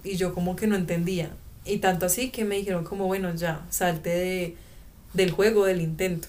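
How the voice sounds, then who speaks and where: Speaking at a moderate pace in a Colombian accent, a woman with a medium pitch keeps a monotone, flat intonation, and audible room echo surrounds her voice. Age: 20s. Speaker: former exchange student. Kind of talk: interview testimony. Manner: halting.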